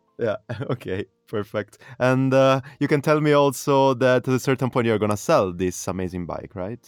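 Speaking with an Italian accent, a man keeps a moderate pace and a medium pitch with ordinary variation, his sound dry and close with no echo over music in the background. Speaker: podcast host. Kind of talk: casual interview chat. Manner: animated.

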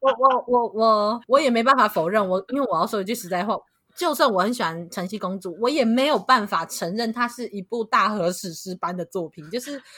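With almost no breaks, the talking proceeds rather briskly. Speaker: podcast co-host. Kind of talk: casual chat.

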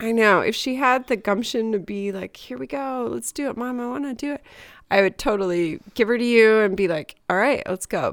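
On a very clean recording with a silent background, a woman with a fairly high pitch speaks at a moderate pace in a normal speaking voice, with ordinary pitch variation. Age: 40s. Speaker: podcast co-host. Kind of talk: casual chat.

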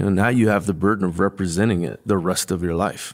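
In a very clean recording with a silent background, a man with a normal speaking voice talks at a fairly low pitch with fairly even intonation. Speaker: podcast host and Marine veteran. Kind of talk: casual interview.

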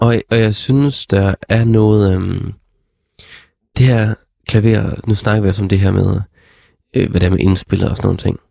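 A man speaks at a fairly low pitch with a dark, mellow tone, fairly even intonation, and very even loudness. The sound is dry and close with no echo, and his fairly slow pace includes long, frequent pauses. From Denmark, Struer (West Jutland). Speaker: podcast host. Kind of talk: casual music review chat. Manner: halting, many fillers.

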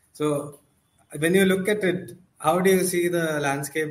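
A man speaks in a somewhat breathy voice. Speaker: podcast host. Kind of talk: casual chat about football.

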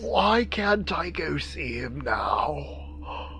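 Clear background noise accompanies a put-on character voice. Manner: rambling, childishly insistent.

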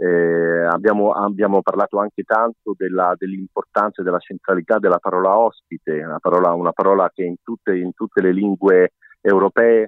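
Fairly quick speech from a man, fairly low in pitch with fairly even intonation. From Rome (half Roman). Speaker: president of a cultural association. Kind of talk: interview. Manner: halting, many fillers and restarts.

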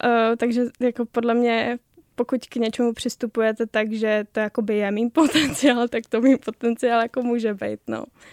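The recording is very clean, and the background is silent. A woman talks in a monotone, flat intonation. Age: 20s. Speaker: social media video creator. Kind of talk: interview. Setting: radio studio.

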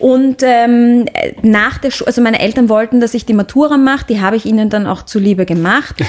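A fairly high-pitched woman at a fairly quick pace, ordinary pitch variation, and noticeable background noise. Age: 30s. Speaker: singer and actress. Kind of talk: casual interview. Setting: studio. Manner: halting, many fillers.

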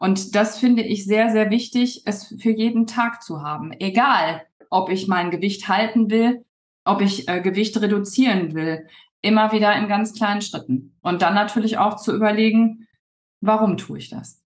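Somewhat breathy and medium in pitch, a woman's voice moves at a moderate pace with ordinary pitch variation. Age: 40s. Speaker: weight loss coach. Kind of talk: casual interview. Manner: hesitant with many fillers.

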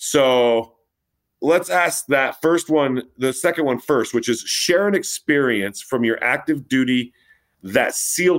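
A man with an unremarkable speaking voice at a medium pitch speaks with lively intonation on a very clean recording with a silent background. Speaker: radio host. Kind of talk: casual interview chat.

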